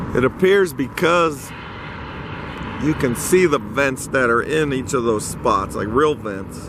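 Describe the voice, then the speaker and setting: Over noticeable background noise, a man talks at a very slow pace with lively intonation. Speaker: stadium construction vlogger. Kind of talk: walking video narration. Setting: outdoors at construction site.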